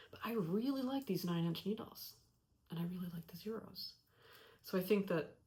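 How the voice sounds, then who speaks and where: A woman's medium-pitched, somewhat breathy voice with a dark, mellow tone and long, frequent pauses. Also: ordinary pitch variation, moderate pace. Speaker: knitting podcaster. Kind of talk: casual talk to camera. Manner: mumbling, hesitant.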